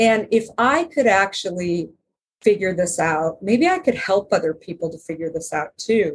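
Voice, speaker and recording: Speaking at a moderate pace with an American accent, a woman uses a medium pitch and lively intonation, her somewhat breathy voice showing big swings in loudness. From Arizona. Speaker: company founder and author. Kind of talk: interview.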